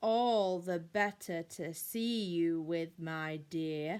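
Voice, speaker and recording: A woman puts on a character voice at a fairly low pitch. She speaks at a very slow pace. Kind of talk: bedtime story. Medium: read story. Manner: sly.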